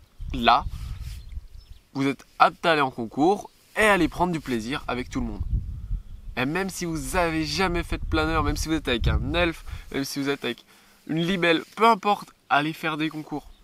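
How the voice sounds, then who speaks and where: With a bright, sharp tone and fairly high pitch, a man talks at a fairly quick pace with ordinary pitch variation and long, frequent pauses, in a dry sound with no echo. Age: 20s. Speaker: model glider pilot, YouTuber. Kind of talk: vlog monologue. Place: open country.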